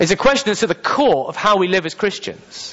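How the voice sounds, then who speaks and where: The voice carries a British accent. Its delivery is fairly quick. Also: man. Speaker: preacher. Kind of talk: sermon. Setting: church.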